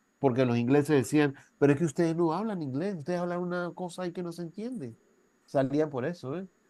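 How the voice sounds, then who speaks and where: Against a quiet background, a man talks at a fairly quick pace in a high voice with a dark, mellow tone and lively intonation. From Venezuela. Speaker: university professor. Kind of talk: lecture. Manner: conversational, with frequent tag questions.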